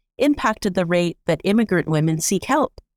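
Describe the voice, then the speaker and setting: Recorded very cleanly against a silent background with a dry, close sound and no echo, a woman has a plain, everyday voice at medium pitch, speaking fairly quickly with lively intonation. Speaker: co-host, immigration sector professional. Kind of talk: scripted narration.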